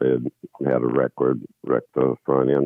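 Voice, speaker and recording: A man speaks at a moderate pace. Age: 70s. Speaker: caller. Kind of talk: casual chat.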